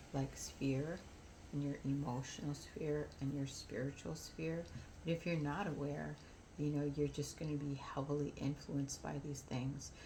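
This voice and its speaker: Audible room echo around a woman's very deep, low-pitched voice. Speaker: spiritual vlogger. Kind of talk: casual monologue vlog. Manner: slow; subdued, not animated.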